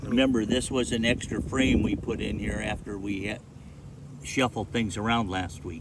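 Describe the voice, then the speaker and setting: Fairly low-pitched male voice over noticeable background noise. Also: ordinary pitch variation, moderate pace. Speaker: beekeeper. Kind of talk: hive inspection tutorial.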